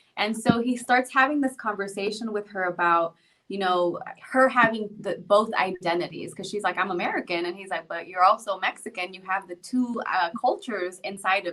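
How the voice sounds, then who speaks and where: With a Spanish accent, a woman talks at a medium pitch in a bright, sharp tone with ordinary pitch variation. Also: moderate pace. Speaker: psychologist and podcast host. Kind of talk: casual chat.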